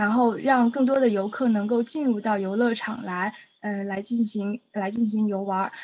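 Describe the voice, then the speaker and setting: The voice belongs to a woman. Her intonation stays fairly even. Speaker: exam candidate student. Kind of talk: mock interview answer. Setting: online voice chat. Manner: halting, many fillers.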